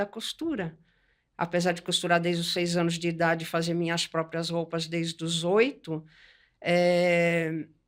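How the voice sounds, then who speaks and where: This woman has an unremarkable speaking voice at a fairly low pitch and a fairly slow pace. The recording is very clean, with a silent background. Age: 60s. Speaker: textile artist. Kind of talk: podcast interview.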